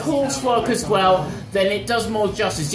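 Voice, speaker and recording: With a British accent, this voice moves at a moderate pace with lively intonation, while clear music plays in the background. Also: man. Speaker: teacher. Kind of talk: casual conversation in a bar. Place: home room. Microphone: phone near.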